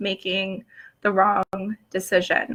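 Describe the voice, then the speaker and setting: A woman speaks at a very slow pace in a bright, sharp tone. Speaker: blogger. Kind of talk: casual chat. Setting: live stream. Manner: hesitant, many fillers.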